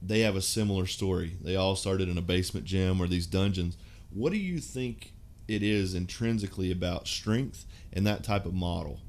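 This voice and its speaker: A man speaks at a moderate pace in a very deep, low voice, with audible echo from the room. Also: fairly even intonation. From Kentucky. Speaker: podcast host. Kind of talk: interview.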